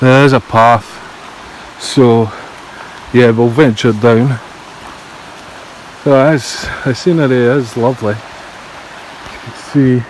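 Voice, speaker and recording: Pausing long and often, a man with a Scottish accent speaks very slowly at a medium pitch, his intonation fairly even but his loudness swinging widely, over noticeable background noise. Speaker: exploration vlogger. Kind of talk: walking vlog narration. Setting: outdoors. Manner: casual, conversational.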